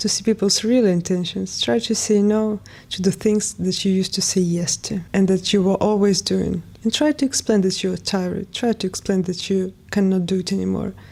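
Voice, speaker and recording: Her dark, mellow tone sits at medium pitch as a woman with a non-native accent speaks at a moderate pace with ordinary pitch variation. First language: not English. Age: 20s. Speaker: lifestyle vlogger. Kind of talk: personal testimony read from a script. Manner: reading aloud.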